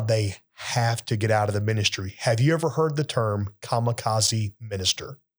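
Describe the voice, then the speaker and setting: An unremarkable speaking voice from a man of medium pitch, at a moderate pace with hardly any pauses, ordinary pitch variation, very even loudness, and a very clean recording with a silent background. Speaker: pastor. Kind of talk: casual chat.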